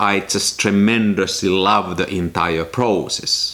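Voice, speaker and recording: A man with a non-native accent talks over noticeable background noise. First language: not English. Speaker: film photography YouTuber. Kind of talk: casual vlog talk to camera.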